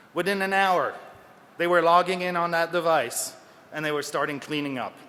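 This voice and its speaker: Delivery is at a moderate pace with fairly even intonation. Audible room echo surrounds the voice. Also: man, high pitch for a man. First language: French. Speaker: security researcher. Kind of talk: conference talk. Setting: stage with audience.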